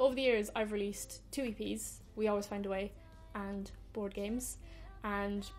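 A woman speaks with a Cork accent. Her pace is moderate. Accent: Irish, Cork. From Ireland. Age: 20s. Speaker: singer-songwriter. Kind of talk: casual talk to camera.

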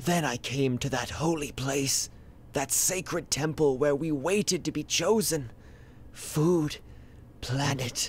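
Against clear background noise, a man uses a put-on character voice with a fairly high pitch at a fairly slow pace. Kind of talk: mock-epic tragic monologue. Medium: comedy sketch. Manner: grandiose, solemn, melodramatic.

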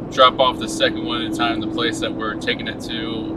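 A man's fairly slow speech sounds dry with no echo, though loud background noise is present. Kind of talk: casual vlog chat. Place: car. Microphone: camera far.

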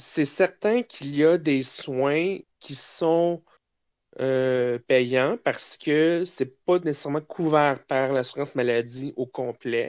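A man with a Quebec accent speaks very slowly at a fairly high pitch with ordinary pitch variation, the sound dry and close with no echo against a quiet background. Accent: Québécois French. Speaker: guest on a podcast. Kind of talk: casual chat.

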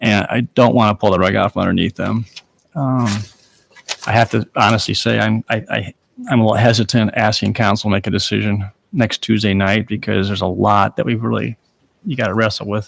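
Dry, with no echo, a man's fairly low voice carries vocal fry and fairly even intonation at a fairly quick pace. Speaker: mayor chairing a city council meeting. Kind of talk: chairing a public meeting. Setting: council chamber with public audience. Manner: informal, with frequent filler words. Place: hall. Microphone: podium.

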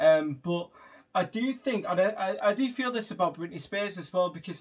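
A man's moderate pace, ordinary pitch variation throughout

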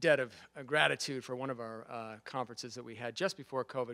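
Fairly quick male speech with fairly even intonation and a bright, sharp tone against a quiet background. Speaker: guest lecturer. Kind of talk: lecture. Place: classroom. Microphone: podium.

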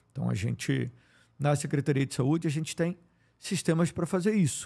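Fairly quick, lively speech from a fairly high-pitched man, with a dark, mellow tone and vocal fry. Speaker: politician and public health official, family doctor. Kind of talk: interview. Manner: frequent filler hesitations; articulate.

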